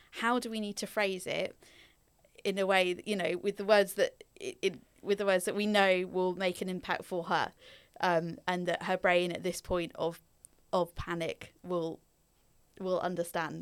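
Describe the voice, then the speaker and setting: Speaking at a fairly slow pace, a woman with an East Anglian accent keeps a medium pitch and fairly even intonation on a very clean recording with a silent background. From England, Norfolk. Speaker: social worker. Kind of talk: interview, personal story. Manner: hesitant, many fillers.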